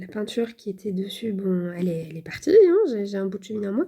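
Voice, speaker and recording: A woman's medium-pitched voice carries a dark, mellow tone. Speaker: cross-stitch vlogger. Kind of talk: casual vlog chat. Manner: hesitant, many fillers.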